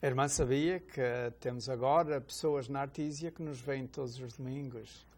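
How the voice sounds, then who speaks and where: At a moderate pace, a man with an ordinary speaking voice talks at a fairly high pitch with fairly even intonation on a very clean recording with a silent background. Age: 60s. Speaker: deacon, religious TV host. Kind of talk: religious TV talk show, casual conversation.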